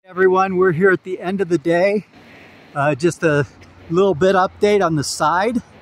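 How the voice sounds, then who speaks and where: A man's high-pitched voice with fairly even intonation and a dry sound with no echo. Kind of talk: casual vlog chat. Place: open country. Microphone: phone near.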